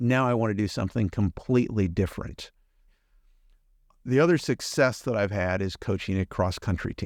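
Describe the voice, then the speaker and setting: A man with an unremarkable speaking voice talks at a moderate pace in a fairly low pitch with ordinary pitch variation, his dry, close sound free of echo on a very clean recording with a silent background. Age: 60s. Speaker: podcast host and business owner, guest. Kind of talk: interview conversation.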